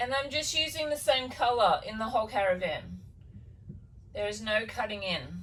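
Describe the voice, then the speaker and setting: A woman talks at a moderate pace with lively intonation. Noticeable background noise runs under her voice. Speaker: DIY builder and vlogger. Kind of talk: DIY vlog narration. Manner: casual, relaxed.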